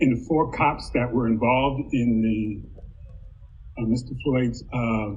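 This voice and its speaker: A man with a medium pitch and a somewhat breathy voice speaks at a very slow pace with hardly any pauses and fairly even intonation, with audible room echo. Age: 60s. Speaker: university diversity administrator. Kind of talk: panel discussion.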